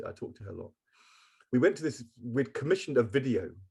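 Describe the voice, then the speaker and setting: Somewhat breathy and with a dark, mellow tone, a man speaks at a moderate pace. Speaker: former politician. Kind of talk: interview answer.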